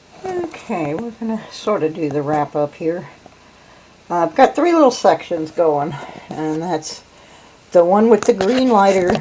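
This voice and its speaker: Noticeable background noise sits behind a woman speaking with a Southern US accent. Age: old. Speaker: metal detectorist. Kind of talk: casual narration to camera.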